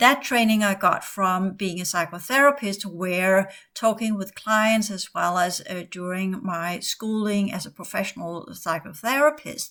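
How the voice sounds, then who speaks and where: Fairly slow speech in a Danish accent, with big swings in loudness, ordinary pitch variation and hardly any pauses. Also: woman, medium pitch for a woman. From Denmark. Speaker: spiritual teacher and former psychotherapist. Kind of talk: podcast monologue. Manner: halting.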